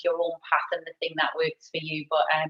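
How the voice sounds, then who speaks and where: A woman speaks with a northeast England accent. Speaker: learning and development director. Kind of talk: career talk at online event. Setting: video call from home.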